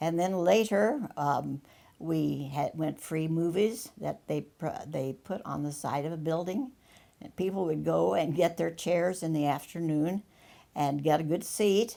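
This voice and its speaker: Her voice is fairly low with a dark, mellow tone. She speaks with an American accent at a fairly slow pace. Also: ordinary pitch variation. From US small town. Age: 90s. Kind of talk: interview testimony. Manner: halting.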